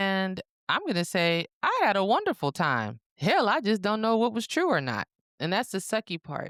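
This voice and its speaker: In a Southern US accent, a woman of medium pitch talks at a moderate pace with very wide pitch swings, the sound dry and close with no echo. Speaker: podcast co-host. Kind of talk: casual chat.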